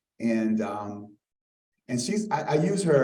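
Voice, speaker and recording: There is audible room echo as a man with an American accent speaks in a dark, mellow tone. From Arlington, Virginia (Halls Hill). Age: 60s. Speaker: community speaker introducing a lecture. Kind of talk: public introduction speech. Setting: live event with audience. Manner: halting, many fillers; informal.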